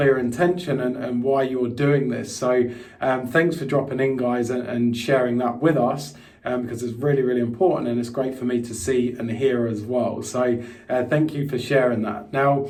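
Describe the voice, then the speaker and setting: A man with an English accent speaks at a moderate pace in a medium pitch, his intonation fairly even, with audible room echo. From England, London. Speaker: crypto investment coach. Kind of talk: live webinar presentation. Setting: live online stream. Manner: casual, with frequent fillers.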